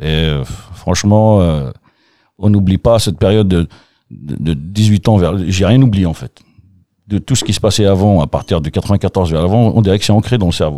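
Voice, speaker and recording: On a very clean recording with a silent background and a dry, close sound without echo, a man speaks at a moderate pace with a very deep, low pitch, a dark, mellow tone and ordinary pitch variation. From Algeria, Kabylie (Bouira). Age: 40s. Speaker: café-bar owner. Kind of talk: casual interview chat. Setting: basement studio under the bar.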